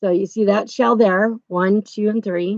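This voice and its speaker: A woman speaks loudly at a fairly slow pace, her pitch medium with fairly even intonation. The sound is dry and close, with no echo. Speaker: crochet video creator. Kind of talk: tutorial. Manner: casual, chatty.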